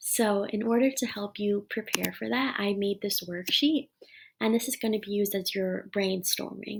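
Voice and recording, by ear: This is reading aloud in a natural voice, with fairly even intonation.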